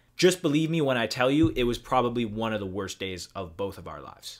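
A man's fairly quick speech with lively intonation against a quiet background. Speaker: vlogger. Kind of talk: casual storytelling vlog. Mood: serious, recounting bad experience. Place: home room. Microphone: webcam.

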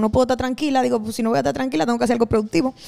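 Over a quiet background, a woman's fairly high-pitched voice has a dark, mellow tone. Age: 20s. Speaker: singer and pastor; pastor. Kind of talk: casual chat. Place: studio. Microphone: handheld.

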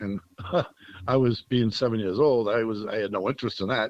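Against a quiet background, a man speaks at a fairly quick pace and fairly low pitch with fairly even intonation, the sound dry with no echo. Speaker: podcast guest. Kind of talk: interview answer. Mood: relaxed, nostalgic. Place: home room. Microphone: video call.

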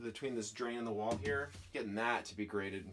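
With light background noise behind him, a man talks at a moderate pace with ordinary pitch variation. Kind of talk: casual vlog chat. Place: bus. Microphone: camera far.

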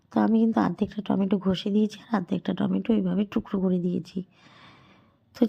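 A woman speaks with a dark, mellow tone. Her voice is somewhat breathy and her intonation fairly even. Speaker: cooking vlogger. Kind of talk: cooking tutorial. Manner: casual, chatty.

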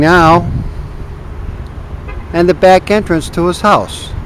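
Fairly even intonation comes at a very slow pace, with a dry sound with no echo and light background noise. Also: man. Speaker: auction company videographer. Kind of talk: walking tour commentary. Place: garden. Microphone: phone near.

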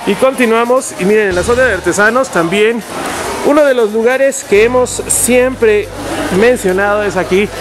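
Moderate pace, with music in the background. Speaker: local fair reporter. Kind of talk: interview questions and promotional commentary. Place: market.

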